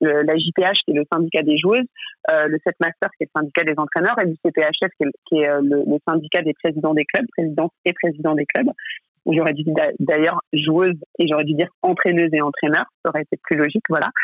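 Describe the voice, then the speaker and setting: A woman talks at a fairly quick pace in a very deep, low voice, keeping her loudness very even. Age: 30s. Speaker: head of a women's sports league. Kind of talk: interview. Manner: halting.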